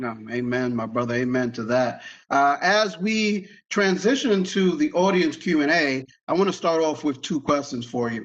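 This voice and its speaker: Lively intonation comes through in a voice with a Spanish accent. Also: man, fairly high pitch for a man, moderate pace. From US Northeast, Brooklyn, New York (East Flatbush). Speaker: moderator. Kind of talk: moderated Q&A at academic talk.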